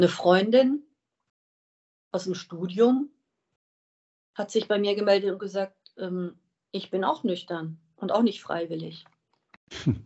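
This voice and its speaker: Here a woman speaks at a very slow pace. She leaves long, frequent pauses. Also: medium pitch for a woman, ordinary pitch variation. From Wiesbaden, Hesse, Germany. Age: 50s. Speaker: recovering alcoholic sharing her story. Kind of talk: interview.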